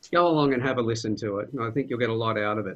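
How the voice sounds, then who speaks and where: This man speaks with an Australian accent at a medium pitch. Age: 60s. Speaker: podcast host. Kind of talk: panel discussion.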